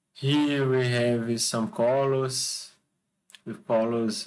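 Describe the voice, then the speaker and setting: With a Brazilian accent, a man speaks at a very slow pace. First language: Portuguese. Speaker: architect and video channel creator. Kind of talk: presentation / tutorial with screen demo. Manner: halting, hesitant, with frequent fillers. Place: home room. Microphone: webcam.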